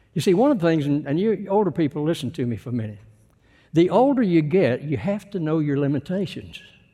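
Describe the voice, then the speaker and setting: A man with a Texan accent, a dark, mellow tone, and lively intonation, talking at a very fast pace. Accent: Texan Southern US. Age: 80s+. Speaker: visiting preacher. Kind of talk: sermon. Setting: church.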